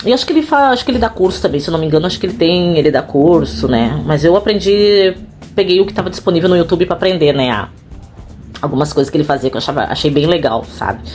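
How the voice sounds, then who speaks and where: Over music in the background, a woman talks at a very fast pace with a fairly low pitch, lively intonation and an animated tone. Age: 40s. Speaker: house cleaner and vlogger. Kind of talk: casual vlog monologue.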